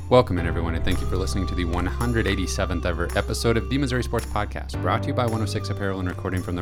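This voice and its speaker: Music plays in the background as a man with a very deep, low pitch talks at a very fast pace with very wide pitch swings. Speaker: podcast host.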